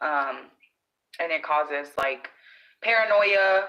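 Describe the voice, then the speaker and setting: A woman with a very deep, low pitch, a nervous tone, fairly even intonation and a very slow pace. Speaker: vlogger. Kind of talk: casual vlog talk to viewers. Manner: nervous, scattered.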